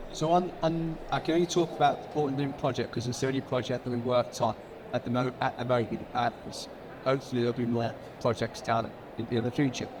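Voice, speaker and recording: Speaking very fast at a medium pitch, a man uses ordinary pitch variation while noticeable background noise runs underneath. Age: 60s. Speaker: builder. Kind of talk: panel discussion. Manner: halting.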